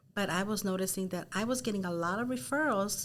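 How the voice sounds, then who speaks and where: A woman talks at a fairly quick pace with a Spanish accent. Her pitch sits in the medium range. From Los Angeles, South Gate. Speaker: real estate team leader. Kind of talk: interview.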